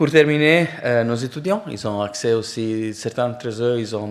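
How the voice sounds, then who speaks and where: At a fairly slow pace, the speaker talks with a non-native accent. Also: man. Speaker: professor, program director. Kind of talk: presentation to prospective students. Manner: halting, many fillers.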